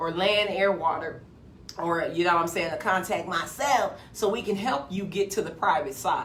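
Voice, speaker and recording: Over noticeable background noise and audible room echo, a woman speaks in an animated tone at a moderate pace. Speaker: motivational video host. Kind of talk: motivational monologue.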